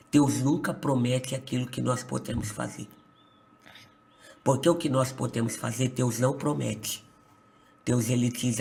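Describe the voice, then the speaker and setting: Against noticeable background noise, a man of medium pitch speaks fairly slowly with fairly even intonation and long, frequent pauses. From Brazil, São Paulo state. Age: 20s. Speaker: pastor. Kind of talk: testimony.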